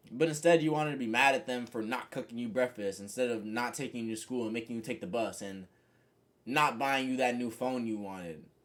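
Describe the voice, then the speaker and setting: In a very clean recording with a silent background, a man with an ordinary speaking voice talks at a fairly quick pace, with medium pitch and ordinary pitch variation. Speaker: content creator and musician. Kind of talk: casual motivational monologue.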